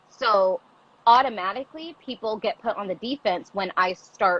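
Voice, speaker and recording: A woman's animated tone at a moderate pace, with lively intonation and a dry, close sound with no echo. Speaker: teacher and activist. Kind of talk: casual chat. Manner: loud.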